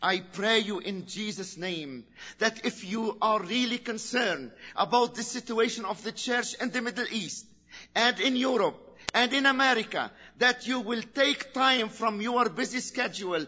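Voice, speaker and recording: Speaking at a fairly slow pace, a man with an Arabic accent has an extremely high pitch. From Lebanon. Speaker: preacher. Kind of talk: sermon. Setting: church.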